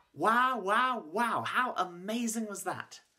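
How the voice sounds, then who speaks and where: A raised, projected voice carries a bright, sharp tone. The background is quiet. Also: man. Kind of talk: warm address to a school audience. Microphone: webcam.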